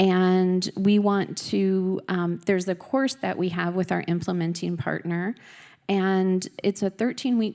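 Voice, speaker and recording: Speaking with a slight Minnesota accent, a woman at medium pitch talks at a fairly slow pace with fairly even intonation in a very clean recording with a silent background. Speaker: US embassy representative, diplomat. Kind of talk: conference speech. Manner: many filler ums.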